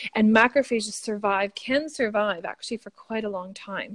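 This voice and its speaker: With a Canadian accent, an unremarkable speaking voice talks at a fairly quick pace with ordinary pitch variation, in a dry, close sound with no echo. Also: woman. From Canada. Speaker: biochemist and skincare founder. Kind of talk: interview.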